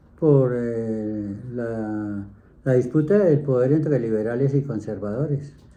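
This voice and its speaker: Speaking at a very slow pace with a dark, mellow tone, a man is heard with audible room echo. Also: medium pitch for a man, ordinary pitch variation. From Colombia, Bogotá. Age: 70s. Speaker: grandfather interviewee. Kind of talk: interview.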